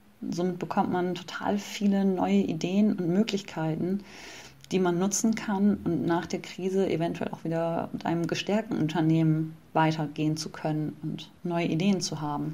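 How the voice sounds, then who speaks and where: Her voice fairly low and her tone dark and mellow, a woman speaks at a moderate pace with ordinary pitch variation. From northern Germany (Bremen). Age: 30s. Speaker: personal trainer. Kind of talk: interview.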